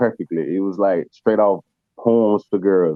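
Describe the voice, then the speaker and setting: A man speaks at a moderate pace. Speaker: independent rapper and producer. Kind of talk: casual interview.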